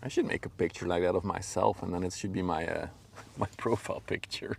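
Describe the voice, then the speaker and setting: A man speaks at a very deep, low pitch in a Flemish Belgian accent. His pace is fairly quick. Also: ordinary pitch variation. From Belgium (Flemish). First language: Dutch. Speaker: livestreamer, ship spotter. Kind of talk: live stream chat. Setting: outdoors by a river. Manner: casual, halting with fillers.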